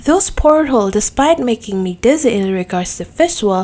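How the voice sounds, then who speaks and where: A woman with a non-native accent speaks at a fairly slow pace and fairly high pitch, her intonation lively. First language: not English. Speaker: gaming YouTuber. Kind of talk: casual video review monologue.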